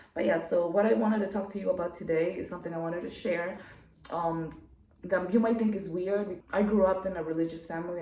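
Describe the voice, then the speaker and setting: A woman with a non-native accent, fairly low-pitched, very fast with ordinary pitch variation, amid noticeable background noise and audible room echo. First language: not English. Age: adult. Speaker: YouTuber. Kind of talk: casual monologue to camera. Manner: talkative, many fillers.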